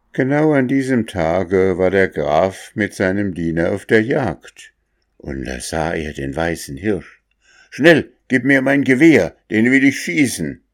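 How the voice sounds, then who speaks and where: Pitch swings very widely as the words come out very slowly, recorded very cleanly against a silent background. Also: man, fairly low pitch for a man. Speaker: storyteller reading a fairy tale. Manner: calm, storyteller's pacing, gently expressive.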